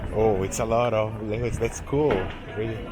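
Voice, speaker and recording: Music plays behind a man with a Portuguese accent. He speaks at a moderate pace amid audible room echo. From Brazil. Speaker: travel vlogger. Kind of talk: casual street interview.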